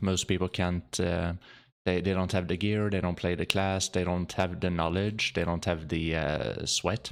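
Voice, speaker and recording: A man with a slight Swedish accent speaks at a moderate pace in a very deep, low pitch. His intonation is fairly even, and the recording is very clean with a silent background. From Sweden. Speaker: video game streamer. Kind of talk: gameplay commentary. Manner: halting, many repetitions; calm, sleep-inducing.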